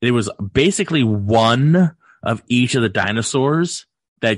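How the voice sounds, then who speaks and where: Over a quiet background, a man speaks at a medium pitch with lively intonation, the sound dry and close with no echo. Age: 40s. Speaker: podcaster and martial arts instructor. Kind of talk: casual chat. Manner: animated.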